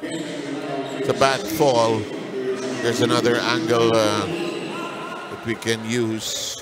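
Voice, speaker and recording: Over noticeable background noise, a man speaks at a very slow pace with medium pitch and ordinary pitch variation. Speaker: play-by-play commentator. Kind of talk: live sports commentary.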